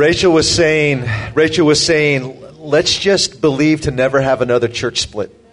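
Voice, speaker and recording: The intonation is fairly even. Noticeable background noise runs behind the voice. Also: man, fairly high pitch for a man, moderate pace. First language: English (speaking Russian). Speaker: preacher. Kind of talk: sermon.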